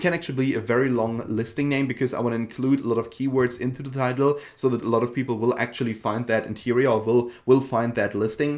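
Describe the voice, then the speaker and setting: A man with a German accent speaks at a medium pitch and a very fast pace, with hardly any pauses. His intonation is fairly even. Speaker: online seller and tutorial creator. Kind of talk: tutorial. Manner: casual with frequent fillers.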